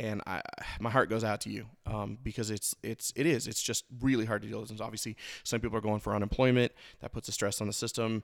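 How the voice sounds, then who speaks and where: This man talks at a fairly quick pace in a flat, monotone delivery with vocal fry, on a very clean recording with a silent background. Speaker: podcast host. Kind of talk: solo monologue. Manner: halting.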